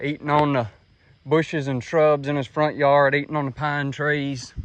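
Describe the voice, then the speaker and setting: In a Mississippi accent, a man speaks at a moderate pace with a fairly high pitch and monotone, flat intonation. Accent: US Southern (Mississippi). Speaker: trapper. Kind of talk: outdoor vlog narration. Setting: outdoors, walking along a creek.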